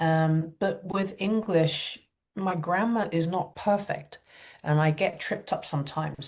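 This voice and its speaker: In a Cantonese accent, the speaker talks at a fairly slow pace, somewhat breathy, with ordinary pitch variation. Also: woman. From Hakka Chinese family background. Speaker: energy healer and spiritual teacher. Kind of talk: interview conversation.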